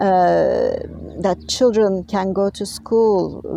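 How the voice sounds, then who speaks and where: A woman with a non-native accent speaks very slowly. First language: not English. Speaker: health and wellness vlogger. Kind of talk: advocacy vlog monologue. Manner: halting, many filler words.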